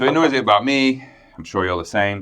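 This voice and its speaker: A man is speaking. He has an English accent. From England. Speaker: podcast co-host. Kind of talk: casual chat. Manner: loud.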